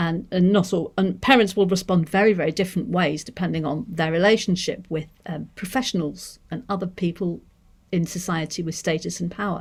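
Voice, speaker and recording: A woman speaks with a Manchester accent at a fairly low pitch. Her voice is somewhat breathy and her pace fairly quick. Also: ordinary pitch variation. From northern England, Manchester. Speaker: deaf education researcher; lecturer on deaf education. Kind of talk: seminar lecture. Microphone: webcam.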